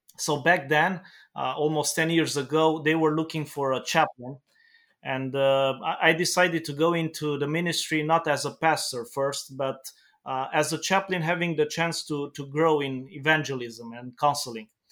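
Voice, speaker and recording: Recorded very cleanly against a silent background, a man with a Romanian accent speaks at a moderate pace. His pitch is fairly high and his intonation fairly even. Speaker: pastor. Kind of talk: interview. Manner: halting.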